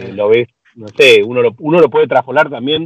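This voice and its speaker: A man speaks with a Rioplatense accent. His pace is moderate. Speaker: film director. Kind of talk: casual chat.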